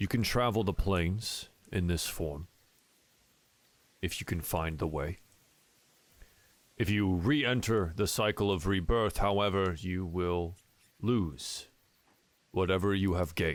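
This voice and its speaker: This man puts on a character voice with a very deep, low pitch. He delivers it at a fairly slow pace. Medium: actual play. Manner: formal, grave.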